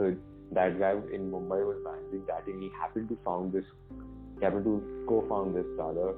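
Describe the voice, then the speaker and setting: Music plays behind a man with an Indian accent who speaks at a fairly quick pace, his very deep, low pitch showing ordinary variation. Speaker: tech entrepreneur and student. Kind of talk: podcast interview answer.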